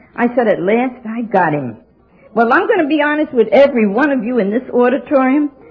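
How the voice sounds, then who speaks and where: A woman with an American accent speaks at a high pitch and a fairly quick pace, with lively intonation. Noticeable background noise is present. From New York City. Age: 70s. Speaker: AA speaker. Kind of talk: recovery talk. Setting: stage with audience. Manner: animated.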